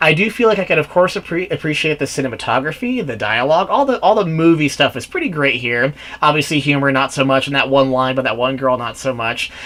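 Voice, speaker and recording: Over noticeable background noise, a man talks very fast in a fairly high pitch with lively intonation. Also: hardly any pauses. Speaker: movie reviewer. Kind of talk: solo video review. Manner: rambling, halting.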